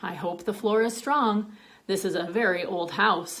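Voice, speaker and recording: A woman uses a put-on character voice at a medium pitch. Her pace is moderate. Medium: read story.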